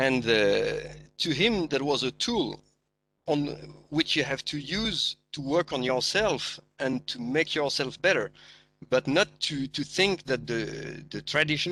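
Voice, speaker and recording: Speaking at a fairly slow pace, a man uses a fairly high pitch with ordinary pitch variation, vocal fry and a bright, sharp tone. The background is quiet. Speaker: martial arts practitioner, panelist. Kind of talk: online panel discussion. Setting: live online forum. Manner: hesitant, many fillers.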